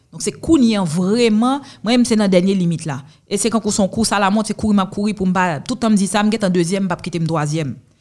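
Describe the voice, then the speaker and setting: A woman's medium-pitched, somewhat breathy voice at a very fast pace, on a very clean recording with a silent background. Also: ordinary pitch variation. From Haiti. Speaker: lawyer and entrepreneur. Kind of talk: interview.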